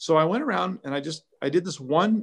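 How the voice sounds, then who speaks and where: The voice belongs to a man with an American accent. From Southern California (Orange County). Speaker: car care brand founder. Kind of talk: interview. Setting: live stream. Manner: animated.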